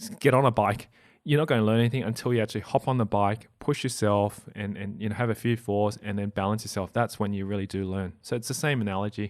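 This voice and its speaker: A man with an Australian accent talks at a very fast pace with hardly any pauses, his pitch fairly low and intonation fairly even. The recording is very clean, with a silent background. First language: not English (family language). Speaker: property investor and podcast host. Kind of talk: interview. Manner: halting with frequent repetitions.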